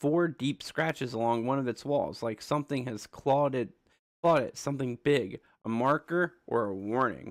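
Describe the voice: Against a quiet background comes plain reading aloud, its pitch varying in an ordinary way.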